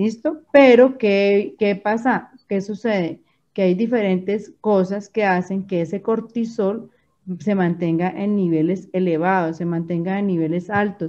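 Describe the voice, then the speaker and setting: Against a quiet background, a woman speaks at a fairly slow pace and medium pitch in a dark, mellow tone. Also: ordinary pitch variation. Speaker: doctor. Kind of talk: radio health interview.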